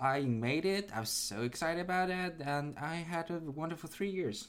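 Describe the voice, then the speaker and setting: A man speaks with lively intonation. His pitch is fairly high. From China (Nanjing). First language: Mandarin Chinese. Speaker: game company employee. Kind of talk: casual chat.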